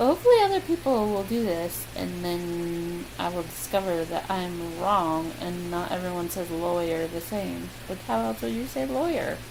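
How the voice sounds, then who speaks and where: A woman speaking with hardly any pauses, over noticeable background noise and audible room echo. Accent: American. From US Midwest. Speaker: vlogger. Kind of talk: casual chat. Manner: casual, hesitant with many ums.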